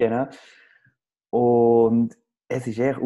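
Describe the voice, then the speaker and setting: A man speaks in a dark, mellow tone. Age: young. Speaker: podcast co-host. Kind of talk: casual chat. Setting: video call from home living room.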